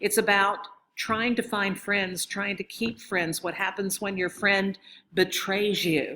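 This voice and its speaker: At a very slow pace, a woman talks in a medium pitch. Her tone is bright and sharp. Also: fairly even intonation. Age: 60s. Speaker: professor of library science. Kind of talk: conference presentation.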